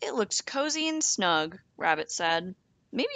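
The clip consists of plain reading aloud.

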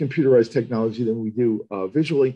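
The speaker is a man with ordinary pitch variation. The background is quiet. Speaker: neuroradiologist; presenter. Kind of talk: lecture. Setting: online webinar. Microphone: webcam.

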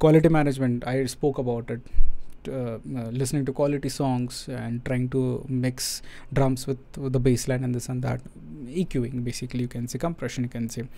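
A man's dark, mellow tone, monotone and flat in intonation, at a fairly quick pace. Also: medium pitch for a man. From India. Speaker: music production teacher. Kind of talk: live stream tutorial. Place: studio. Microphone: studio mic.

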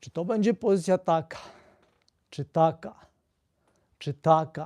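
Recorded very cleanly against a silent background, a man with a high pitch and a dark, mellow tone speaks at a moderate pace with ordinary pitch variation. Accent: Polish. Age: 60s. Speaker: physiotherapist video blogger. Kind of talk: tutorial, explanatory talk to camera. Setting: live video stream. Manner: explanatory, conversational.

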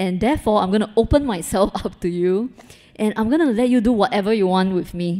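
A woman's dark, mellow tone at a fairly quick pace, ordinary pitch variation, and a quiet background. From Singapore. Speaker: photographer. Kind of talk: panel talk before audience. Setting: gallery event with live audience. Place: hall. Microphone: handheld.

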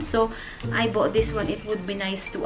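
A woman speaks over clear music in the background. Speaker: haul vlogger. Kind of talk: casual vlog chat. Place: home room. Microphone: camera far.

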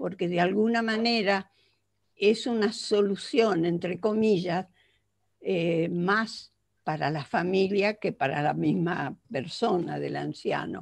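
A woman's voice with vocal fry and ordinary pitch variation, very slow, over a quiet background. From Argentina. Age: 80s+. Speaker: psychologist; conference lecturer. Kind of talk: lecture. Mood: earnest, reflective. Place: home room. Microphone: headset.

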